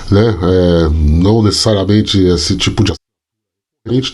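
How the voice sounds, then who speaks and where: His voice sounds somewhat breathy. This man talks with lively intonation. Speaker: sports journalist and youtuber. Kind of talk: casual vlog commentary. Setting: home at night. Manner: soft-spoken, talking quietly.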